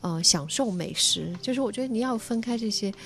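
The intonation of this woman is lively. She keeps a moderate pace. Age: 40s. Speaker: writer and broadcaster. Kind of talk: casual chat.

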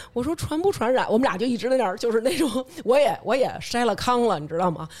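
Amid noticeable background noise, a woman talks at a fairly quick pace in an animated tone with very wide pitch swings. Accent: northern Chinese. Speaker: podcast host. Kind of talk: casual chat.

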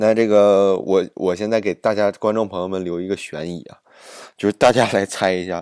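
A man speaks in an animated tone at a moderate pace. His voice is fairly low, with ordinary pitch variation. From Northeast China, Jilin. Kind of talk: casual monologue.

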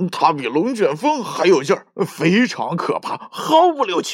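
A man puts on a character voice, fairly high with a slightly husky edge, moving slowly and swinging widely in pitch.

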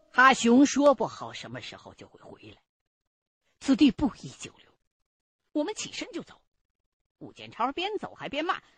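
The pace is moderate. Long pauses come often. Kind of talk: true-crime horror narration, first-person retelling. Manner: suspenseful, tense, with a hushed, urgent build-up.

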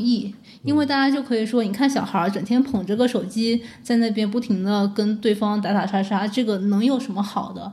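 Somewhat breathy, this voice carries a dark, mellow tone. Its pace is moderate and its intonation fairly even. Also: woman. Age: 20s. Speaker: former game media editor. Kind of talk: podcast conversation.

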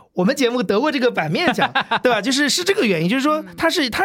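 Talking at a very fast pace, a man's voice swings very widely in pitch. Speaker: media professional, podcast co-founder. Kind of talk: casual chat.

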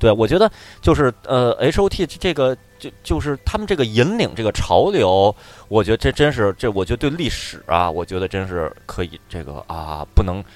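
Speaking at a moderate pace, a man sounds animated. His medium pitch swings very widely. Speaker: podcast co-host. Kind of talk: casual chat.

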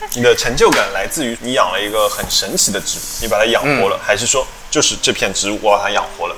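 Background music is playing. Over it, a man talks at a very fast pace. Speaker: podcast host. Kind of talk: casual chat.

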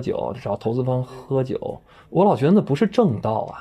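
Somewhat breathy, the man's voice has a dark, mellow tone. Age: 30s. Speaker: actor and host. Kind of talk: casual chat. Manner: animated.

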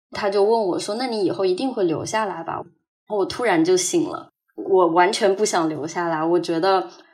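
A woman at medium pitch, a normal speaking voice with lively intonation at a moderate pace. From Hangzhou, China. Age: 20s. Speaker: student abroad. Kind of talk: personal testimony.

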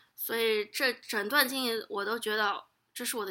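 Recorded very cleanly against a silent background, a woman speaks in a bright, sharp tone with ordinary pitch variation. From Shanghai, China. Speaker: guest, Chinese expat worker in US. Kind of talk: casual interview chat.

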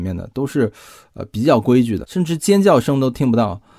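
At a fairly quick pace, a man speaks at medium pitch in a dark, mellow tone on a very clean recording with a silent background. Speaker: podcast host. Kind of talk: storytelling monologue. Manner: casual.

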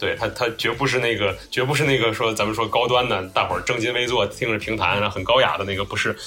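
With music in the background, a man of medium pitch races along at a very fast pace with hardly any pauses and fairly even intonation. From Tianjin, China. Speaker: graphic designer and podcaster. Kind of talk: casual chat. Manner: halting, with frequent repetitions and fillers.

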